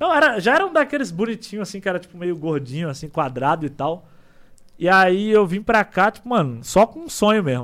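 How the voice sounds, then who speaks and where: Lively intonation colors a man's fairly quick delivery. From Ceará, Brazil (small town near Fortaleza). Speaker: streamer. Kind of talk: casual chat.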